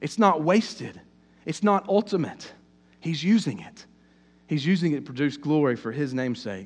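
Against a quiet background, a man talks at a fairly quick pace. He has a Southern US accent and very wide pitch swings. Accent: southern US, noticeable. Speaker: pastor. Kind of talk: sermon. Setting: church. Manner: hesitant, filler-heavy.

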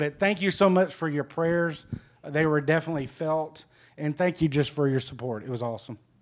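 Ordinary pitch variation marks a man's fairly high voice as he moves at a fairly quick pace. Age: 40s. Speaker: church member sharing trip testimony. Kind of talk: testimony.

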